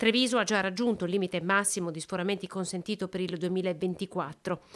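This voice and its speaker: In an unremarkable speaking voice, a woman speaks at a medium pitch with fairly even intonation on a very clean recording with a silent background. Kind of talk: news reading. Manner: formal, steady newsreader delivery.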